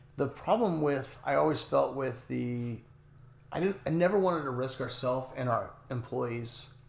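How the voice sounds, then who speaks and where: An American accent at a moderate pace with ordinary pitch variation and audible room echo. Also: man, medium pitch for a man. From Northern California, near Oregon border. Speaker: lawn care business owner. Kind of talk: casual interview.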